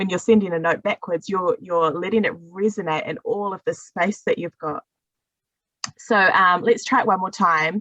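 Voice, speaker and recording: The speaker has a New Zealand accent, ordinary pitch variation and a moderate pace. The sound is dry and close with no echo. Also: woman. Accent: New Zealand, words low in the face. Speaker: singing teacher. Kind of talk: voice workshop instruction.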